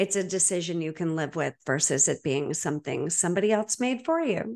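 A woman has a plain, everyday voice with a fairly low pitch and lively intonation. The background is quiet. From Boston, Massachusetts. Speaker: podcast host, divorce coach. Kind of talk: interview conversation.

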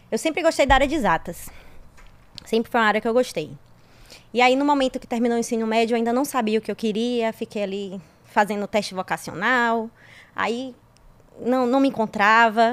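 With a fairly high pitch, a woman talks at a fairly quick pace but leaves long, frequent pauses. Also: ordinary pitch variation. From Brazil, interior of Bahia. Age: 30s. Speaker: civil engineer, guest. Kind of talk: casual chat.

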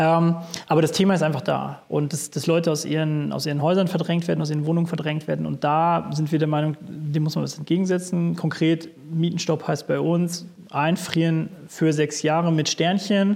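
A man talks at a moderate pace in a monotone, flat delivery. Noticeable background noise sits behind him. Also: fairly high pitch for a man. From Sauerland. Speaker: tenant activist. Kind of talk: interview.

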